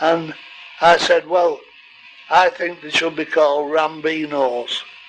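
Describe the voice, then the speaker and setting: A man speaks at a very slow pace in a fairly high voice with fairly even intonation. Background noise is noticeable. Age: 80s+. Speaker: retired goldfish breeder and show judge. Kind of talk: casual narration. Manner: halting.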